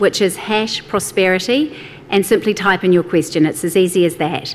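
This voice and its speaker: Noticeable background noise accompanies a woman talking at a moderate pace with lively intonation. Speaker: event host and moderator. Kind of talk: event hosting, introductions and moderating. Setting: live event with audience.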